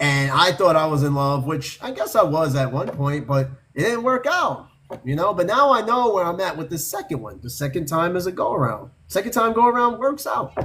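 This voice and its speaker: This man speaks with a high pitch and very wide pitch swings, with noticeable background noise behind him. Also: fairly quick pace. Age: 40s. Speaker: podcast host. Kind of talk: casual chat.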